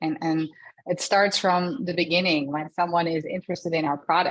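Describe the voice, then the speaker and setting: At a fairly quick pace, a woman talks in a fairly low pitch with a slight Dutch accent. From Netherlands. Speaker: customer success director. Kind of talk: interview.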